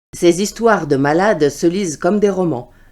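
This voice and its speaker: Speaking at a fairly slow pace, a woman uses a dark, mellow tone and lively intonation. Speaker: voice reader. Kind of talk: literary prose reading.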